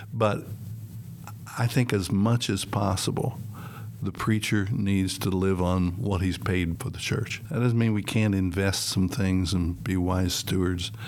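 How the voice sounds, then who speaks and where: The speech comes at a fairly slow pace with fairly even intonation, and background noise is noticeable. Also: man, fairly low pitch for a man. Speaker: senior pastor. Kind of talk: casual panel discussion. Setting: studio.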